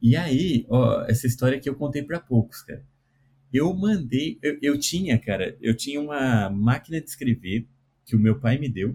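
At a moderate pace, a man speaks at a medium pitch in a dark, mellow, somewhat breathy tone with ordinary pitch variation. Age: 40s. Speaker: cartoonist and programming teacher. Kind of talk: casual interview.

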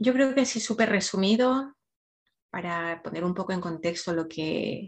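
A woman speaks at a fairly slow pace with a fairly low pitch, somewhat breathy, with ordinary pitch variation. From Ecuador. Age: 40s. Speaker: emotional wellbeing coach. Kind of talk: podcast interview, personal story.

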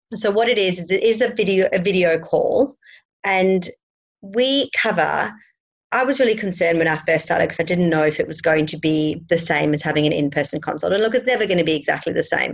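A woman with an Australian accent, medium in pitch, lively in intonation, at a fairly quick pace. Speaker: midwife and lactation consultant, podcast host. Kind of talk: interview chat.

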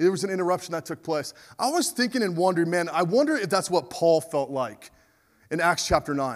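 On a very clean recording with a silent background, a high-pitched man speaks at a fairly quick pace with lively intonation. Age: 40s. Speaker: pastor. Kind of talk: sermon.

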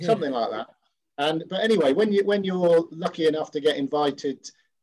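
At a moderate pace, a man speaks with an East Midlands accent. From Nottinghamshire, England. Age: 50s. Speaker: rugby club veteran. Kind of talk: casual interview.

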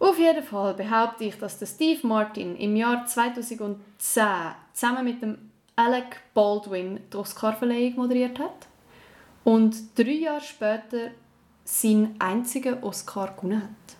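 A woman with a Swiss accent, fairly high-pitched, very slow, with ordinary pitch variation and big swings in loudness. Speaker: podcast co-host, actress. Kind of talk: casual game-show chat.

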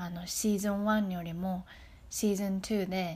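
Speaking at a fairly slow pace, a woman uses a medium pitch with a somewhat breathy quality and monotone, flat intonation, on a very clean recording with a silent background. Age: 30s. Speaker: podcast host. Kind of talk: casual motivational monologue. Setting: outdoors in a forest. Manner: relaxed, natural; halting.

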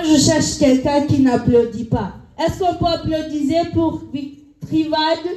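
Noticeable background noise sits behind a woman who speaks at a fairly slow pace and high pitch, with ordinary pitch variation and very even loudness. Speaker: game show host. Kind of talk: live quiz game show hosting an audience. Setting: live venue with audience.

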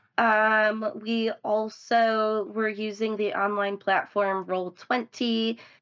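A woman talks with a fairly high pitch. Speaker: tabletop game player and co-host. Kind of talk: casual chat.

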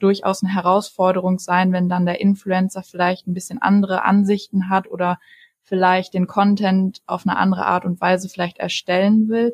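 A woman's somewhat breathy voice in a monotone, flat intonation. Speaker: student and travel blogger. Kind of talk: interview. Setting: studio.

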